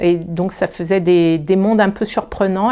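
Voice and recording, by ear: At a moderate pace, a woman with a fairly low pitch and a dark, mellow tone talks with fairly even intonation.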